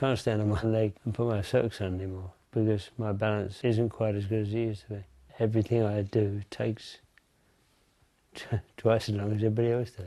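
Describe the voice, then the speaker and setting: A man speaks with a fairly low pitch and a dark, mellow tone at a fairly quick pace. His intonation is monotone and flat, and the background is quiet. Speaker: person living with Parkinson's. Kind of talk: personal testimony. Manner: halting.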